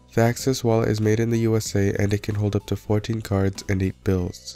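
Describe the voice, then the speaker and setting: With music in the background, a man speaks at a fairly quick pace in a fairly low pitch, his intonation fairly even. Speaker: tech reviewer. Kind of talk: product review to camera. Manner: soft, mumbly.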